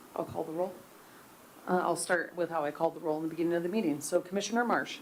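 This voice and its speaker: This woman speaks very fast in a fairly low voice, her intonation fairly even. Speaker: meeting clerk. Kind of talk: public meeting proceedings.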